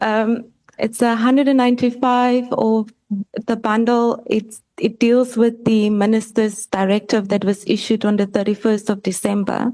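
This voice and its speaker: Her fairly high voice stays monotone and flat, at very even loudness and a moderate pace. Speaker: evidence leader at parliamentary committee. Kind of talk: formal questioning at hearing. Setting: parliamentary committee hearing. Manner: soft-spoken. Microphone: microphone lowered, too quiet.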